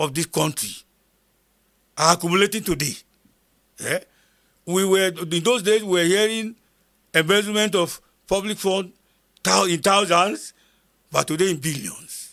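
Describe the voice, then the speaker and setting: In a very clean recording with a silent background, a man with a northern Nigerian accent talks at a moderate pace with long, frequent pauses, his high voice bright and sharp in tone, with ordinary pitch variation. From northern Nigeria, Kogi State (Igala). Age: 70s. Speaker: retired army sergeant major, war veteran. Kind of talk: interview testimony. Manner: repetitive, emphatic.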